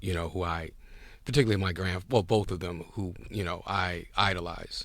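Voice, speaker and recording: In a very clean recording with a silent background, a man with a New York accent speaks at a moderate pace with a very deep, low pitch. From New York City (Harlem, Brooklyn). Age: 60s. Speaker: businessman. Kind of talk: interview.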